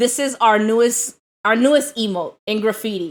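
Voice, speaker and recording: A woman's fairly high voice in a New York accent at a fairly slow pace. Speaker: live streamer. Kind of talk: casual chat. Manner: loud.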